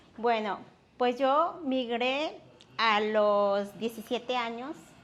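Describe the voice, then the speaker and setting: A woman with a fairly high pitch speaks at a very slow pace with ordinary pitch variation. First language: Nahuatl (speaking Spanish). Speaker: interpreter and institute worker. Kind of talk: interview.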